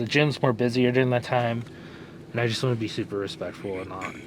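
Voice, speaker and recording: Over noticeable background noise, a man at medium pitch speaks at a moderate pace with fairly even intonation. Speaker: fitness vlogger. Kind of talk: casual vlog chat.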